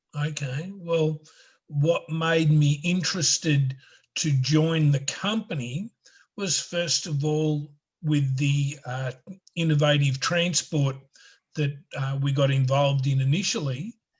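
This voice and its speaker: He speaks at a very slow pace with a fairly high, somewhat breathy voice. His intonation stays fairly even. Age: 60s. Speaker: financial law consultant. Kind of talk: interview. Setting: video call. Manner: halting.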